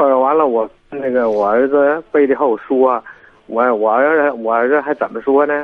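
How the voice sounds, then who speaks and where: A man speaks at a moderate pace with a medium pitch and fairly even intonation. It is a normal speaking voice. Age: 50s. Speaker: caller seeking family advice. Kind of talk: phone-in call.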